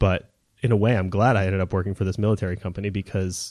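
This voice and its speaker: In a normal speaking voice, a man talks at a fairly quick pace with fairly low pitch and fairly even intonation, recorded very cleanly against a silent background with a dry, close sound and no echo. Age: 30s. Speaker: electronic music composer. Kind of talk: casual interview.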